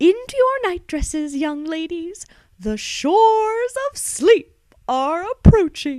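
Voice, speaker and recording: Using a put-on character voice, a woman speaks fairly slowly at an extremely high pitch with very wide pitch swings. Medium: read story. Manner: prim, fussy.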